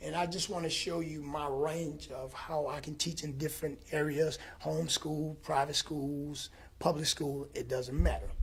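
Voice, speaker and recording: In a somewhat breathy voice, a man talks at a moderate pace with monotone, flat intonation. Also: fairly high pitch for a man. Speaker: fitness educator and show host. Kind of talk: presentation.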